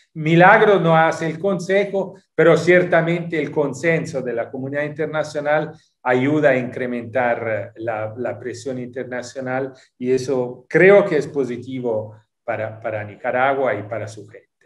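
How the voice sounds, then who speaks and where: Against a quiet background, the speaker goes at a fairly slow pace, with lively intonation and big swings in loudness. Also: man, fairly high pitch for a man. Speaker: UN human rights official. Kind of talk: interview; interview answer. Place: home room. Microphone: video call.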